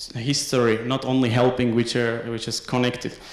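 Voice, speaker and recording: Against noticeable background noise and audible room echo, a man speaks at medium pitch. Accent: Slovak. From Slovakia. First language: Slovak. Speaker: PhD researcher. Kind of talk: conference talk. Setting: academic conference. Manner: halting, many fillers.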